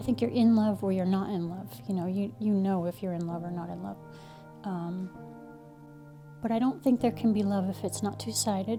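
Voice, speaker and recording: With music in the background, a woman in a Northeastern US accent speaks in a gentle tone with lively intonation and long, frequent pauses. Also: medium pitch for a woman, moderate pace. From Connecticut. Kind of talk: interview answer. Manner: gentle, reflective.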